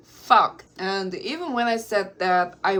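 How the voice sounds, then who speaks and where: In a Korean accent, a woman speaks at a fairly slow pace with ordinary pitch variation. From South Korea. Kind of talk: casual talk to camera.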